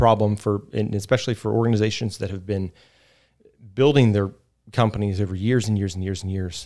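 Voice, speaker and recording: In an American accent, a man with a plain, everyday voice speaks at a fairly low pitch with ordinary pitch variation, on a very clean recording with a silent background. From West Virginia. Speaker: DevOps engineer. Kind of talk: casual chat.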